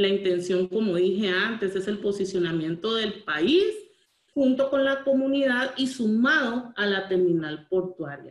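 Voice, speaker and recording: A woman's fairly slow, lively delivery in a quiet background with audible room echo. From Costa Rica. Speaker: port authority manager; presenter. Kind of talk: webinar presentation. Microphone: video call.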